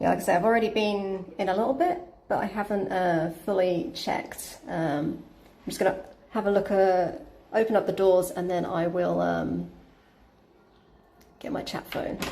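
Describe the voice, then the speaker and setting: Amid audible room echo, a woman talks at a moderate pace in a medium-pitched voice, with ordinary pitch variation and long, frequent pauses. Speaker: Airbnb host and cleaner vlogger. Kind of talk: live stream vlog, casual talk. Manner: casual, many fillers (um, uh, like).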